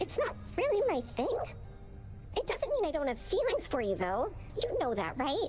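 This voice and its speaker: A woman uses a bubbly, put-on character voice at a moderate pace, with clear music in the background. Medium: video game. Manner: bubbly, earnest.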